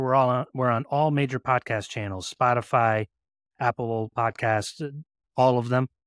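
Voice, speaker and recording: In a very clean recording with a silent background and a dry, close sound with no echo, a man with an unremarkable speaking voice talks at medium pitch and a fairly quick pace. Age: 40s. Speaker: home inspector and software business owner. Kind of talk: casual interview chat.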